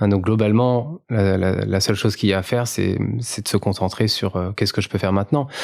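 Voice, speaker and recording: This man talks fairly quickly in a fairly low pitch with fairly even intonation. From France, Paris region (near Melun). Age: 30s. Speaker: carbon footprint consultant, founder. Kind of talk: podcast interview. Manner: hesitant, many fillers.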